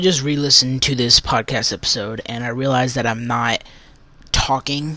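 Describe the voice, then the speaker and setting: A man mumbles at a medium pitch. His tone is bright and sharp, with ordinary pitch variation. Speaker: religious podcaster. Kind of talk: casual devotional podcast talk. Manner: mumbling; halting, many fillers.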